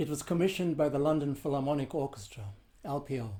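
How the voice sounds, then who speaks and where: The tone is dark, mellow and somewhat breathy. The pace is moderate, with ordinary pitch variation. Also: man. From South Africa. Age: 70s. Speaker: composer and percussionist. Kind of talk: prepared answers read to questions. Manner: formal.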